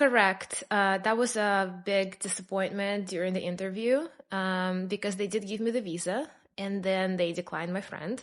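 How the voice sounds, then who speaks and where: A woman with a Russian accent speaks at a moderate pace and a medium pitch. Her pitch varies in an ordinary way against a quiet background. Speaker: immigrant sharing her story. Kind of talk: podcast interview.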